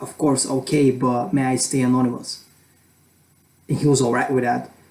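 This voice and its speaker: Monotone, flat delivery at a moderate pace, with a non-native accent. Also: man. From Europe. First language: not English. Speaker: student vlogger. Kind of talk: casual vlog advice. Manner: halting, many fillers. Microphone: poor camera quality.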